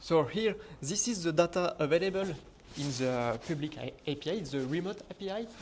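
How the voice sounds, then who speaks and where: A man with a French accent, high-pitched, at a moderate pace with lively intonation. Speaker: conference speaker, software developer. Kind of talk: technical conference talk.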